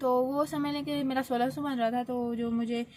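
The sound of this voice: A woman speaks at a fairly quick pace and fairly high pitch. Her tone is dark and mellow, with little pitch movement.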